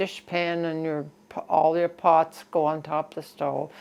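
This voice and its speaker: Against a quiet background, the speaker talks with a Nova Scotian accent. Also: woman. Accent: rural Nova Scotia (Maritime Canadian). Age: 90s. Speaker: elderly interviewee sharing life story. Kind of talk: life-story interview.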